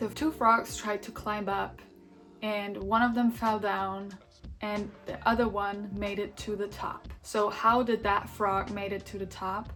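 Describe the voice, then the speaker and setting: Over music in the background, a woman with a non-native accent and a medium pitch speaks at a fairly slow pace with fairly even intonation. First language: not English. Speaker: vlogger. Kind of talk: personal monologue. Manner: casual.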